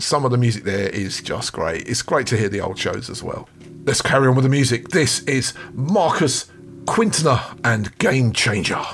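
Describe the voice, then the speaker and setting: Over noticeable background noise, a man with a medium pitch speaks at a moderate pace in an upbeat, enthusiastic tone with lively intonation. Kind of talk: radio DJ patter introducing tracks. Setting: radio show studio. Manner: upbeat, enthusiastic, fluent and chatty, British-style hype; warm, friendly, gushing over tracks.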